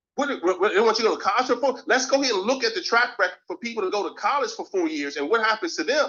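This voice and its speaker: With an animated tone, a man races along at a very fast pace in an extremely high voice, his pitch swinging very widely and hardly any pauses breaking the flow. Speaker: team leader. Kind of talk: motivational team training.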